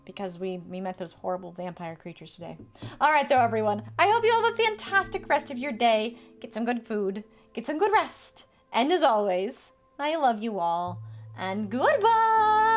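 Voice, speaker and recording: The speaker has an American accent and a moderate pace. Big swings in loudness come through over noticeable background noise. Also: woman. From US Midwest. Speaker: streamer. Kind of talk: stream outro; live gameplay stream. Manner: casual.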